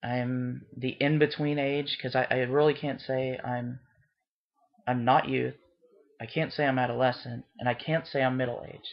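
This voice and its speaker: The speech moves at a moderate pace over a quiet background. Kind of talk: casual vlog chat. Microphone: webcam.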